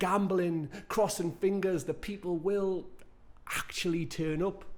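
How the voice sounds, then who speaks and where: A man with a Geordie accent speaks fairly slowly at a high pitch, with fairly even intonation. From northern England, Newcastle upon Tyne. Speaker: performance poet. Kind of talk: spoken word performance.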